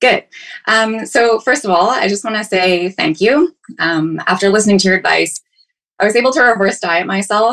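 A woman speaks at a medium pitch with lively intonation. Her pace is fairly quick. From Ontario, Canada. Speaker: caller seeking fitness advice. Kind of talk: call-in question. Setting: video call. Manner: hesitant, many fillers.

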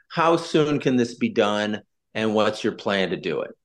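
Against a quiet background, a man speaks in a normal speaking voice at medium pitch. His intonation is lively and his pace moderate. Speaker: podcast host. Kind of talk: interview.

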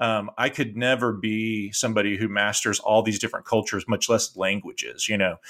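In a very clean recording with a silent background, a man with a fairly low pitch speaks fairly quickly in a bright, sharp tone, monotone and flat, with hardly any pauses. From Texas, Austin. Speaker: missionary, diaspora ministry leader. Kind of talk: interview. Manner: halting.

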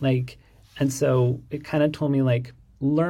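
Somewhat breathy, a man with an American accent speaks in a dark, mellow tone. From Pittsburgh, US Midwest. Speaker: interior designer, design firm owner. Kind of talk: casual interview.

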